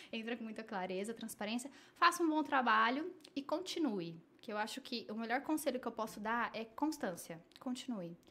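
A woman with an unremarkable speaking voice talks at a moderate pace and a fairly high pitch. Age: 30s. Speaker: social media strategist and digital influencer. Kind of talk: casual interview.

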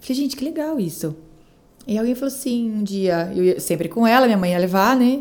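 An ordinary speaking voice from a woman, moderate in pace, with lively intonation. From Brazil, São Paulo state interior (Araras). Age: 30s. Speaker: event producer and businesswoman. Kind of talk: casual interview chat.

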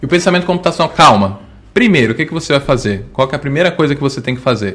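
This is a man's voice. His pitch is fairly high, with ordinary variation. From Bahia, Brazil (Salvador). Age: 20s. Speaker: educational robotics educator. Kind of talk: casual interview. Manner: halting, many fillers.

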